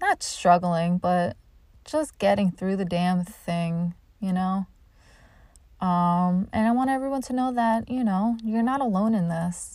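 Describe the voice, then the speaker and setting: A woman speaks at a fairly slow pace in a medium-pitched, somewhat breathy voice with a dark, mellow tone. Her pitch varies in an ordinary way, and the recording is very clean with a silent background. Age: 30s. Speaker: comedian and podcast host. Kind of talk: casual chat.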